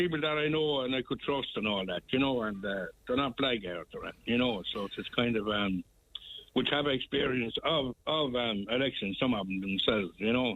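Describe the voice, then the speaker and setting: A man speaks at a medium pitch with a Tipperary accent. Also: ordinary pitch variation. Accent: Irish, Tipperary. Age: 70s. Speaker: local election candidate. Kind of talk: radio interview.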